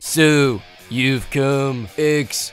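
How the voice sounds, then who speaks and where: A man's put-on character voice over clear music in the background. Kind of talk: comic overacting. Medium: game stream. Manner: macho, growling.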